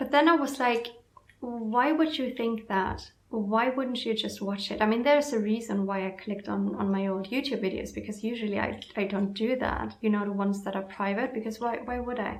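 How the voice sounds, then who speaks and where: A woman's fairly high voice with a German accent, moderate pace, ordinary pitch variation and hardly any pauses, amid noticeable background noise and audible room echo. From Germany. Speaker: self-help vlogger. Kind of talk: casual vlog talk.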